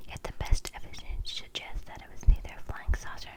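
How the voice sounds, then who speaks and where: Whispered speech at a fairly quick pace. Noticeable background noise sits behind it. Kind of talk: reading an article aloud.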